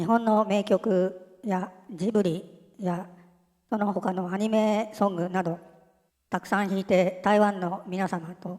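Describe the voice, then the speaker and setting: A woman speaks at a very slow pace in a dark, mellow tone. Her intonation stays monotone and flat. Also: medium pitch for a woman. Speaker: channel narrator. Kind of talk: news-style announcement narration.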